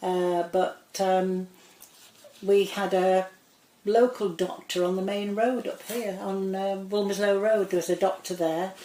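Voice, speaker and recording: A woman speaks fairly slowly at a medium pitch. Her intonation stays monotone and flat. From northern England, Greater Manchester (Cheshire side). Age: 70s. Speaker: local resident interviewee. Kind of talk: oral history interview. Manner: conversational, hesitant with fillers.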